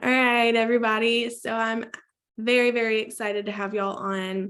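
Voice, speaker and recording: Loud, monotone delivery with flat intonation at a moderate pace. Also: woman, fairly high pitch for a woman. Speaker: team leader hosting a sales team call. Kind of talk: team video call pep talk. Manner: projects loudly.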